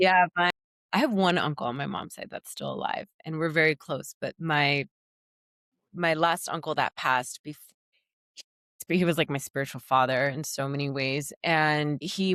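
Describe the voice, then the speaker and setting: A woman with a very deep, low pitch speaks at a moderate pace with fairly even intonation, in a dry, close sound with no echo. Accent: Spanish. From US, Colombian family. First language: Spanish. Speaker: singer and ceremonialist. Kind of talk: casual chat.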